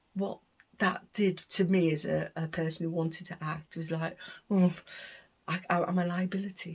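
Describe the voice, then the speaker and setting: With long, frequent pauses, a woman speaks at a moderate pace in a fairly low, somewhat breathy voice and flat, monotone intonation. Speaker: deaf arts leader and performer. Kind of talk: recorded interview monologue. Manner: hesitant, with self-corrections.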